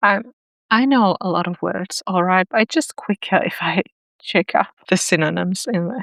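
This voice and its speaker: A woman's medium-pitched voice with ordinary pitch variation and vocal fry, a non-native accent, a moderate pace, and a dry, close sound with no echo. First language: not English. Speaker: writing YouTuber. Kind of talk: casual tutorial reading aloud own writing. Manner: halting, thinking aloud.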